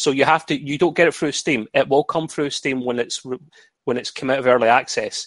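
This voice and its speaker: A man with a plain, everyday voice at a fairly quick pace. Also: fairly high pitch for a man, fairly even intonation. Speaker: community member. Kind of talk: casual chat.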